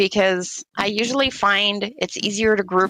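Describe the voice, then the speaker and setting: A woman speaks at a fairly slow pace with vocal fry. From French-speaking community. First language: French. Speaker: board game player. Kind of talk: casual chat.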